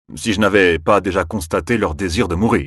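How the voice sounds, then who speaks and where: A growling, put-on character voice at a moderate pace with very even loudness. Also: man. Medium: read story. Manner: grave, measured.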